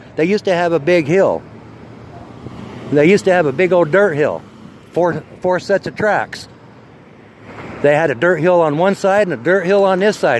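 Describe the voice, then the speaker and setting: A man's high voice with an American accent, ordinary pitch variation and a moderate pace, over noticeable background noise. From Idaho, US (Twin Falls). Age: 50s. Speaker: vlogger. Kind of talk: casual walking vlog monologue. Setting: outdoors, walking by the street. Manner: rambling, casual, coarse.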